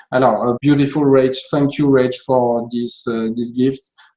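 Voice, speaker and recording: A man with a French accent and a dark, mellow tone speaks fairly slowly at a medium pitch, his intonation monotone and flat. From France. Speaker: interviewer. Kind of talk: interview. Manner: halting, many fillers.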